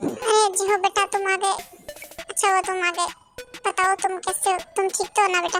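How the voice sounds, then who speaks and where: Against faint background music, a woman uses a put-on character voice at a fairly quick pace. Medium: read story. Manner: warm, paternal.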